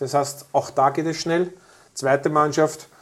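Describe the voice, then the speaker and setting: A man speaks at a moderate pace. He has a Lower Austrian accent. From Lower Austria (Krems area). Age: 50s. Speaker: youth football academy director. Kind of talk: interview. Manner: hesitant fillers.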